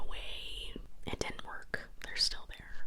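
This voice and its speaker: A woman whispers very slowly, with clear noise audible behind her. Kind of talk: casual intro greeting the audience. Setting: home recording with scratching noises in the background. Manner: whispered.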